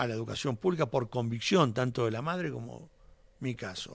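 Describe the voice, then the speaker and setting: In a very clean recording with a silent background, a man speaks with vocal fry and lively intonation. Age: 60s. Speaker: politician. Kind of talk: radio interview.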